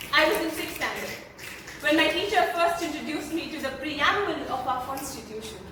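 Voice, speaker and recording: A woman with an Indian accent and an extremely high pitch projects her voice with lively intonation over noticeable background noise. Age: young. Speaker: slam poet. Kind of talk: slam poetry performance.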